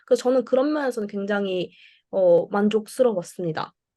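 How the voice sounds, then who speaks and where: At a fairly quick pace, a woman talks in a dark, mellow tone. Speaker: international student. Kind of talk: student seminar talk.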